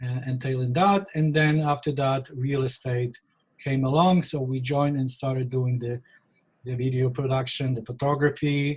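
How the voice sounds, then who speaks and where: Speaking with a Polish accent, a man has a somewhat breathy voice at a medium pitch, a moderate pace and fairly even intonation. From Poland. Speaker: real estate photographer. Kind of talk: interview.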